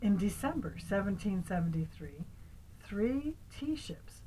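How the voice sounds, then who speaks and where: Speaking at a very slow pace with vocal fry, a woman uses lively intonation. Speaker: grandmother reading to grandchildren. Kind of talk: storybook reading aloud.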